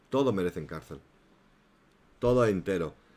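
The speaker moves at a fairly quick pace in an animated tone. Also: man. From inland Spain. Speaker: YouTube gossip commentator. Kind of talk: live stream chat and commentary. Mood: indignant in places.

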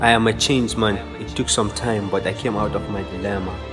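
Over music in the background, a man talks at a fairly quick pace, his fairly low pitch moving with ordinary variation. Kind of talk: spoken word poetry.

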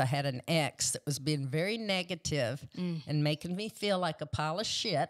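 Someone with a Texan accent speaks at a moderate pace with ordinary pitch variation over a quiet background. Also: woman. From Texas Panhandle; Texas. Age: 60s. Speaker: jiu-jitsu practitioner; podcast guest. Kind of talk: interview answer. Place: studio. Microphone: studio mic.

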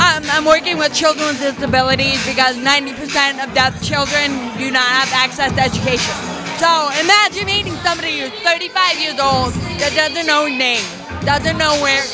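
Clear music plays in the background as a woman speaks at a moderate pace with ordinary pitch variation. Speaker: interviewee. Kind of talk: interview answer. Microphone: handheld.

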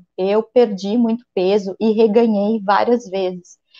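A woman's fairly high-pitched voice with a dark, mellow tone, ordinary pitch variation and a fairly slow pace, over a quiet background. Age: 40s. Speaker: physician; guest. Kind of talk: interview. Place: home room. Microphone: earbuds.

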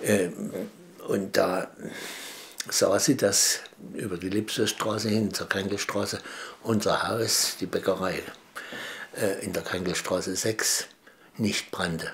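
A man with a fairly low pitch, a very slow pace, monotone flat intonation and long, frequent pauses. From Dresden, Saxony; Saxony, Germany. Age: 70s. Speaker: eyewitness interviewee; witness. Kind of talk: interview testimony. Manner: halting, many fillers. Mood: calm, reflective recollection. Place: home room.

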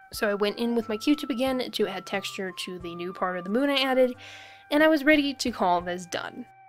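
A woman with a fairly high pitch, lively intonation, big swings in loudness and a fairly quick pace, with music in the background. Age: young. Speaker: artist. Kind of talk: casual art video voiceover. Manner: mumbling.

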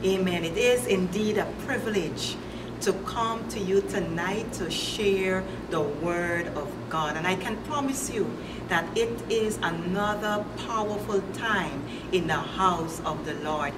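A woman at a fairly slow pace, with loud background noise. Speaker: pastor. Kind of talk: sermon. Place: home room.

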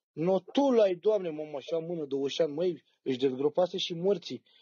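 In a quiet background, a man speaks at a moderate pace. His pitch is fairly high. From Romania. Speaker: storyteller. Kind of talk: casual chat. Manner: animated. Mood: joking, relaxed. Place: home room. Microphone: phone near.

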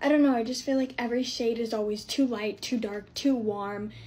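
A woman speaks with fairly even intonation. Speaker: content creator. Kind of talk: casual vlog. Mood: anxious, flustered. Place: home room. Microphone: phone near.

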